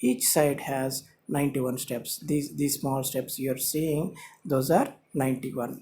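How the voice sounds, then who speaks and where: A man's fairly high, somewhat breathy voice with a dark, mellow tone, fairly even intonation and a fairly slow pace, in a Telugu accent. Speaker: YouTube channel host. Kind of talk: lecture. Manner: halting, many fillers.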